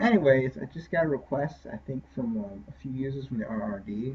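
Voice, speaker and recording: Somewhat breathy, a man with a medium pitch speaks at a moderate pace with ordinary pitch variation. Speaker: game scripting tutorial maker. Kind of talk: tutorial. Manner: halting, many fillers; casual.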